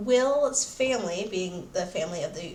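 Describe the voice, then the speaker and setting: Against noticeable background noise and audible room echo, a woman talks at a fairly slow pace with ordinary pitch variation. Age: 20s. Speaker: book reviewer, YouTuber. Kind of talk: casual book review. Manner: casual, hesitant with fillers.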